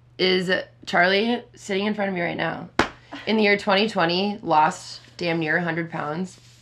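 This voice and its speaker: A woman with an American accent speaks fairly slowly at a medium pitch over noticeable background noise. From Minnesota, Minneapolis area. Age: 20s. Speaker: podcast host. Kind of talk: casual chat. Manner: loud; animated.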